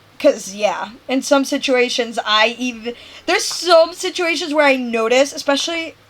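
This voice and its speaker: A woman speaks in an animated tone with lively intonation. Noticeable background noise is present. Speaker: game streamer. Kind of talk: casual chat. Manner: loud.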